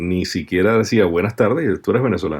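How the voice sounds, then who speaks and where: The man's voice is very deep and low, with lively intonation. He keeps a fairly quick pace. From Venezuela. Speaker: voice-over artist. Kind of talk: interview.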